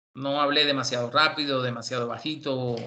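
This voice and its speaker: Monotone, flat intonation marks a man speaking at a medium pitch. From Cuba. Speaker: university lecturer. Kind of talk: lecture.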